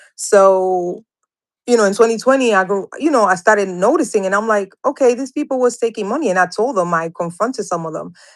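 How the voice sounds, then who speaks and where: A woman speaks with a strong Dominican accent. Her pitch varies in an ordinary way. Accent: heavy Dominican Spanish. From Dominican Republic, raised from childhood in New York. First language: Spanish. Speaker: interview guest sharing personal experiences. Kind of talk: testimony. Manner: halting.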